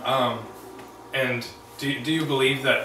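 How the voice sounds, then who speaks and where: The man talks at a fairly slow pace. Noticeable background noise runs underneath. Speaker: health podcast host. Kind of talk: podcast interview questions.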